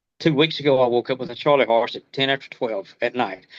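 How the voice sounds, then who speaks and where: A man with an ordinary speaking voice talks at a fairly quick pace with fairly even intonation. The sound is dry and close, with no echo. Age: 60s. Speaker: home inspector. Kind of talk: testimony.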